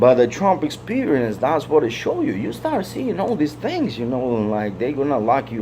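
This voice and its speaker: Speech moves at a fairly quick pace while noticeable background noise is present. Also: man. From Soviet Union (Russia/Ukraine). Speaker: vlogger. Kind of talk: casual monologue. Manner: halting, repetitive.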